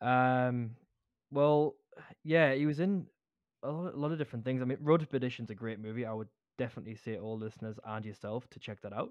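A man talks fairly quickly, his loudness swinging widely. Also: medium pitch for a man, ordinary pitch variation. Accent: Geordie. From Newcastle upon Tyne, northern England. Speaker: podcast co-host. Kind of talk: casual chat.

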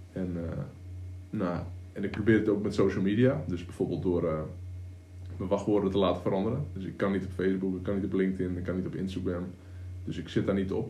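Speaking at a fairly quick pace with long, frequent pauses, a man's very deep, low voice has a dark, mellow, somewhat breathy tone, a monotone, flat intonation, and audible room echo. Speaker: online entrepreneur, coach. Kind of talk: casual chat. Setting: home studio.

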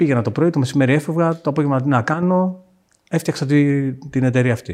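A man with a normal speaking voice, at a moderate pace, with ordinary pitch variation. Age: 40s. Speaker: fintech founder. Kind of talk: casual chat.

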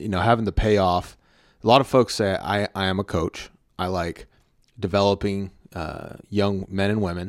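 A man with an American accent and an unremarkable speaking voice, fairly low-pitched, at a moderate pace with fairly even intonation, in a very clean recording with a silent background. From Texas. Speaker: podcast host and content creator. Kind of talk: casual chat.

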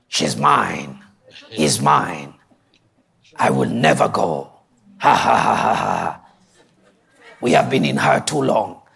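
A man's raspy put-on character voice, very deep and low, at a fairly slow pace with long, frequent pauses. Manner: menacing, possessive, cackling.

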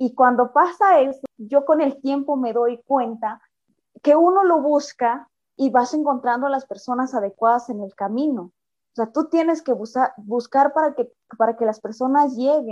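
A woman's high-pitched voice, fairly slow, with ordinary pitch variation. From Mexico, Sierra Norte of Oaxaca. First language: Mixe (speaking Spanish). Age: 30s. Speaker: opera singer. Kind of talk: interview.

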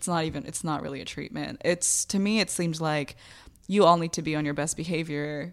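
A woman talks at a fairly quick pace with an ordinary speaking voice. Her pitch is fairly low and her intonation fairly even. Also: very clean recording, silent background. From US, raised by Bangladeshi immigrant parents. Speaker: artist and poet. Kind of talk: candid interview.

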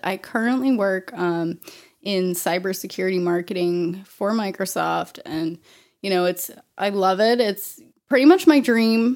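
In a very clean recording with a silent background, a woman with a medium pitch speaks at a fairly slow pace with ordinary pitch variation. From Maine, US (Auburn, central Maine). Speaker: candle and CBD oil maker, fly fishing angler. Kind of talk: casual interview. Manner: hesitant, many fillers.

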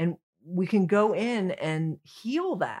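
With lively intonation and medium pitch, a woman speaks in a normal speaking voice, captured in a very clean recording with a silent background. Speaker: comedian. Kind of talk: casual chat.

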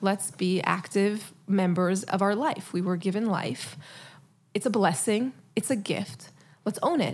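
A woman's somewhat breathy voice, medium in pitch, at a moderate pace. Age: 30s. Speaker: psychologist. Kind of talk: interview conversation.

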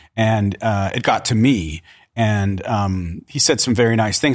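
An unremarkable speaking voice moves at a fairly slow pace on a very clean recording with a silent background. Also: man. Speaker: actor. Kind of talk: casual chat.

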